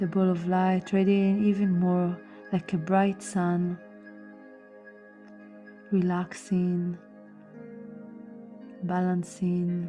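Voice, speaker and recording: Over music in the background, a woman with a fairly low pitch speaks at a very slow pace with long, frequent pauses, very even loudness and monotone, flat intonation. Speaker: meditation guide. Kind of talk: guided meditation narration. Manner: slow, calm, soothing.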